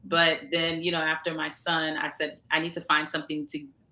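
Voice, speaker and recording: In a New York accent, a woman speaks with a fairly low pitch and a bright, sharp tone. The recording is very clean, with a silent background. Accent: New York American English. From Long Island, New York (Haitian family). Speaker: media entrepreneur. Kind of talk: interview.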